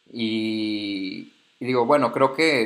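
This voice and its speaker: This man speaks with a medium pitch. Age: 20s. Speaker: podcast host, communications graduate. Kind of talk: personal reflective monologue. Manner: hesitant, filler-heavy.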